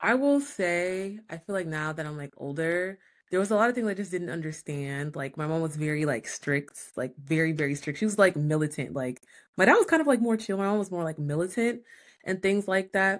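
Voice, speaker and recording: A woman with an American accent talks fairly quickly in an ordinary speaking voice, fairly low in pitch. Her intonation is lively, and the background is quiet. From US, Nigerian family. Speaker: singer and stan account co-founder. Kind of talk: podcast interview.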